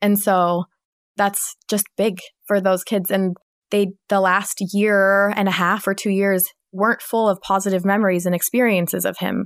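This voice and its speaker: Moderate pace, very even loudness and monotone, flat intonation, with a West Coast US accent and a dry, close sound with no echo. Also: woman, medium pitch for a woman, very clean recording, silent background. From Washington State, US. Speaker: divorced mother sharing her story. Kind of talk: testimony.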